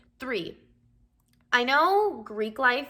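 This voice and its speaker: With a Californian accent, a woman speaks in a bright, sharp, animated tone with very wide pitch swings. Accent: Californian American English. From Southern California. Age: 20s. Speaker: vlogger. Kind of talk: casual advice vlog.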